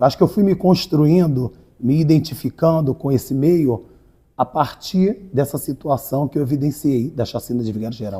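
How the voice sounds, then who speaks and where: In an ordinary speaking voice, a man speaks at a moderate pace with lively intonation. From Rio de Janeiro, Brazil. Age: 40s. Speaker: writer and community activist. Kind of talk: interview.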